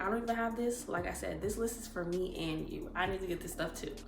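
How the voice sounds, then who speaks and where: A woman speaks at a fairly quick pace with ordinary pitch variation, with audible room echo and music in the background. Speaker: lifestyle vlogger. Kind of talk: casual vlog talk to camera. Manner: projecting voice.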